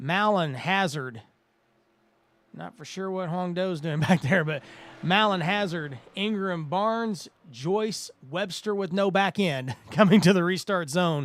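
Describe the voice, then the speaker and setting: This man's voice is high in pitch, with ordinary pitch variation and a fairly slow pace. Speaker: sim racing commentator. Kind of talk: live commentary.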